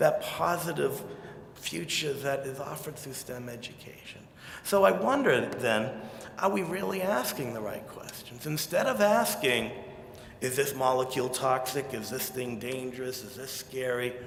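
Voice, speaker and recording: A man with an American accent talks at a moderate pace in a fairly high pitch, his intonation lively and his loudness swinging widely. Noticeable background noise and audible room echo accompany the recording. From Quincy, Massachusetts (south of Boston). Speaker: chemist, keynote speaker. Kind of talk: keynote speech. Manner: animated.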